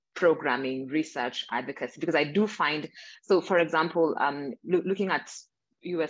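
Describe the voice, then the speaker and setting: In a Kenyan accent, a woman speaks at a moderate pace. Her pitch is very deep and low, with ordinary pitch variation. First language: not English; English is her third language. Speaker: reproductive justice advocate. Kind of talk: panel discussion.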